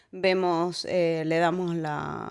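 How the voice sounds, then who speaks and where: The speaker has an Argentine accent, and audible room echo surrounds the voice. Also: woman. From Argentina, Córdoba. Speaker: immigrant sharing life story. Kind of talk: casual interview. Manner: halting, many fillers and repetitions.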